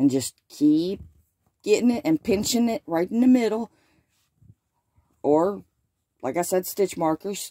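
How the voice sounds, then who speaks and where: With a Southern US accent, a woman speaks at medium pitch and a fairly slow pace, taking long, frequent pauses, her very wide pitch swings carried in a dark, mellow tone on a dry, close recording with no echo. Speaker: crochet teacher. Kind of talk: tutorial. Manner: casual, chatty.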